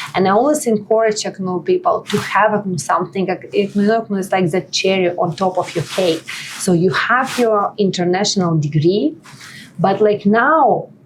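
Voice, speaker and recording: Noticeable background noise sits behind a woman with a Russian accent. Her pitch is medium, with ordinary variation, and her pace is moderate. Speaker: nonprofit partnership lead, immigrant advocate. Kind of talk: podcast interview. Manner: hesitant, filler-heavy.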